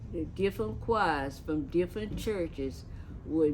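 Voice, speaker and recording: A woman's fairly low voice with vocal fry and lively intonation, plus audible room echo. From Lakeland, Florida. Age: 80s+. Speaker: church elder. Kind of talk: oral history interview. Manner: halting.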